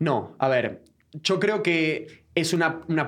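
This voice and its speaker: This man speaks with an Argentine accent. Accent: Rioplatense Argentine Spanish. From Buenos Aires, Argentina (Floresta). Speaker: football commentator. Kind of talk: interview conversation. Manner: halting with many repetitions.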